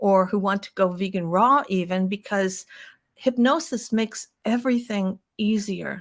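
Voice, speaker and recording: In a very clean recording with a silent background, a woman speaks fairly slowly at medium pitch in a normal speaking voice. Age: 60s. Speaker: hypnotist and vegan advocate. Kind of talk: podcast interview monologue.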